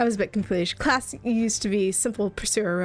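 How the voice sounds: What is heard here is a natural reading voice.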